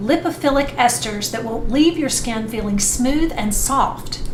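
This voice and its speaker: Against noticeable background noise, a woman with a fairly high pitch speaks at a fairly slow pace. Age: 50s. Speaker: skincare vlogger. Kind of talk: casual talk to camera.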